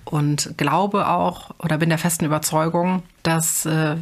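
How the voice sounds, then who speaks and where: A woman at a fairly low pitch and fairly slow pace, with fairly even intonation. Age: 30s. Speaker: mother and retail manager. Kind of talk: interview. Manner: hesitant, frequent filler sounds.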